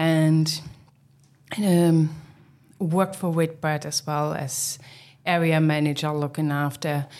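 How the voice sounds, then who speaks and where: A woman with a German accent speaks with a very deep, low pitch in a monotone, flat intonation. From East Germany. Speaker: hotel managing director. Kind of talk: casual interview conversation. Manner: hesitant, with frequent filler words.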